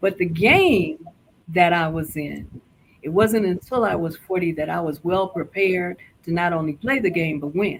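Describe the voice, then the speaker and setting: Fairly low pitch and a moderate pace from a woman with a normal speaking voice. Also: ordinary pitch variation. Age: 60s. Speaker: lifestyle show guest. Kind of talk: casual interview chat.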